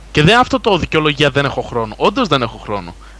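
A man at a moderate pace, his pitch swinging very widely, with noticeable background noise. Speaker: gaming site contributor. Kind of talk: casual chat.

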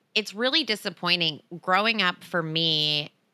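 An American accent comes with a bright, sharp tone and ordinary pitch variation at a fairly slow pace. The recording is very clean, with a silent background. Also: woman. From US Northeast. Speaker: podcast host. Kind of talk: casual chat.

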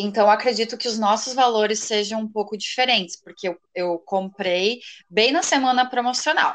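Her pitch is fairly high and her pitch variation ordinary as this woman talks at a moderate pace. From Rio Grande do Sul, Brazil. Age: 20s. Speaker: law graduate, would-be exchange student. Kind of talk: casual interview chat.

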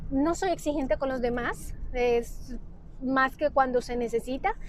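High female voice, fairly slow in pace, with ordinary variation in pitch. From Honduras. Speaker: physician and nutrition consultant. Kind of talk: solo podcast monologue. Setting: recorded on a mobile phone. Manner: halting, many fillers and repetitions. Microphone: phone mic.

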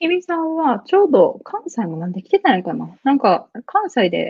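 A woman is speaking. Her pitch swings very widely. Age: 20s. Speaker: business lead at a startup. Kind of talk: casual interview. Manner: laughs often.

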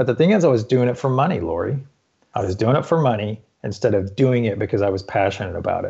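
A man speaks at a very fast pace with lively intonation. His voice is somewhat breathy and medium in pitch. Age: 50s. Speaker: fitness coach. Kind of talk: interview. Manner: halting.

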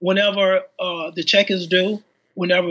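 Raising and projecting his voice, a man speaks at a fairly slow pace with a high pitch, a bright, sharp tone and fairly even intonation. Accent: American. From Chicago, Englewood. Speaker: independent filmmaker. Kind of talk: interview.

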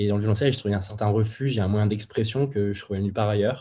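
A man talks at a very fast pace in a fairly low, somewhat breathy voice, his tone dark and mellow and his intonation fairly even. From central France, Moulins (Allier). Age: 20s. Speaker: cellist. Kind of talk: casual interview.

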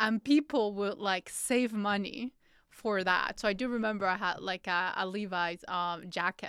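In a Spanish accent, a woman speaks at a moderate pace with ordinary pitch variation, the sound dry and close with no echo. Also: medium pitch for a woman, very clean recording, silent background. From Colombia. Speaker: podcast host. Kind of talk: interview conversation.

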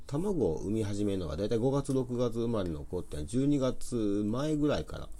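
Audible room echo surrounds a man with a Kansai accent. His tone is dark and mellow, with very wide pitch swings. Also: medium pitch for a man, moderate pace. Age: 40s. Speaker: poultry farmer and gardener, business owner. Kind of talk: casual chat.

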